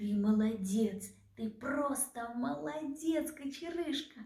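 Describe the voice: A put-on character voice, slow and dark, mellow in tone, with vocal fry and audible room echo. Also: woman, fairly high pitch for a woman, lively intonation.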